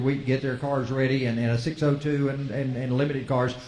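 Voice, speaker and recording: In a Southern US accent, a man talks at a very fast pace with a fairly high pitch. Audible room echo and noticeable background noise surround him. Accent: Southern US (Georgia). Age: 70s. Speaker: radio host. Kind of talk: interview. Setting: live show at a restaurant venue.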